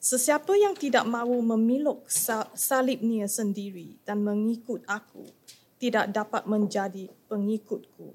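Somewhat breathy and fairly high, a woman's voice with a slight Chinese accent moves at a moderate pace with ordinary pitch variation. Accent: slight Chinese accent in Malay. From Malaysia. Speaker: scripture reader. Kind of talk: reading aloud scripture.

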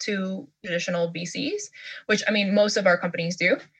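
A woman with an American accent speaks in a somewhat breathy voice at a medium pitch. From New York City. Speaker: venture investor. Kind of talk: interview podcast.

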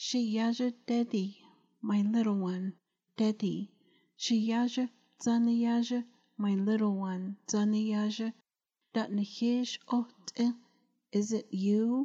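A woman's put-on character voice, shrill and fairly high in pitch, at a very slow pace with monotone, flat intonation and long, frequent pauses. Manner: shrieking.

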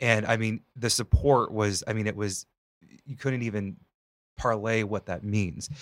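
A man with an ordinary speaking voice talks fairly slowly at a fairly low pitch with fairly even intonation. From Northwest Ohio, US. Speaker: podcast host, aspiring mental health counselor. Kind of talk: casual interview chat; read disclaimer. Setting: studio.

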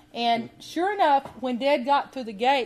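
A woman talks with a Southern US accent. Her intonation is lively. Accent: southern US, sweet drawl. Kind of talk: storytelling monologue. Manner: casual, folksy.

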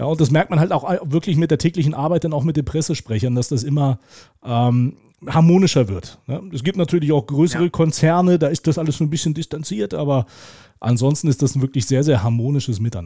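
A very fast, somewhat breathy delivery with a dark, mellow tone, ordinary pitch variation, and a dry, close sound with no echo. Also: man, fairly high pitch for a man. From Lower Saxony, Germany (Hildesheim). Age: 40s. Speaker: sports commentator. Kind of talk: casual interview. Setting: video call.

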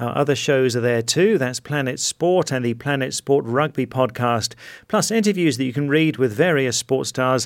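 A man with an ordinary speaking voice. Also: very clean recording, silent background. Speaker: football radio show host. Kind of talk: scripted sports show presenting.

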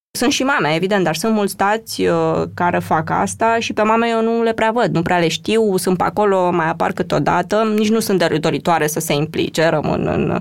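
A woman talks fairly quickly in a normal speaking voice, her pitch varying in an ordinary way. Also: medium pitch for a woman, very even loudness. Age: 40s. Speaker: EU financial officer and mother. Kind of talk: interview conversation. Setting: studio.

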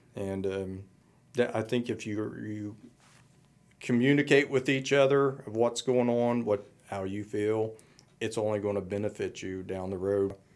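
Long, frequent pauses break up a man's fairly slow speech, delivered at a fairly low pitch with fairly even intonation. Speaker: military veteran, veterans service officer. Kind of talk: interview. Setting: studio. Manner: hesitant, many fillers.

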